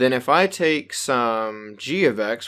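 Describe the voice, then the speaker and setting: There is a man with an ordinary speaking voice at a medium pitch and lively intonation, on a very clean recording with a silent background. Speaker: math teacher. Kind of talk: lecture. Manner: casual, conversational.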